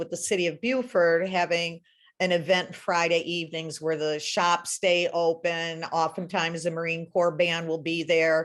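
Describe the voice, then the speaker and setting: A woman speaks. Her pitch is fairly low. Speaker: library volunteer book sale chair. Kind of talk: virtual presentation. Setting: video call. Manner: halting, many fillers.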